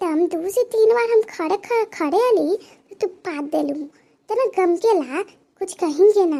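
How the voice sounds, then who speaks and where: A woman puts on a cartoonish character voice at an extremely high pitch, with lively intonation and big swings in loudness. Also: moderate pace. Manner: playful, wheedling.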